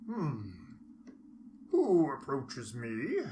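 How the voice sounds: A put-on character voice at a low-to-middle pitch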